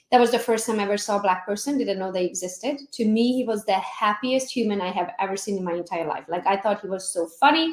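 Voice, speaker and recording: Speaking with a Hungarian accent, a woman talks very fast at a medium pitch with hardly any pauses and ordinary pitch variation. Background noise is noticeable. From Transylvania, Romania (Hungarian minority). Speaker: real estate agent. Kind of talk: casual chat.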